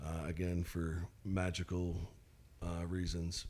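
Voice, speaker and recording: He has a Southern US accent. The voice belongs to a man. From Mississippi, US South. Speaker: singer-songwriter. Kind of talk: interview. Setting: studio. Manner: halting.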